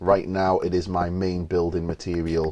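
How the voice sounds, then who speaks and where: A man's dark, mellow tone at a fairly slow pace. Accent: English. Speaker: gamer. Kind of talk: gameplay commentary. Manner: halting, pauses mid-sentence; casual.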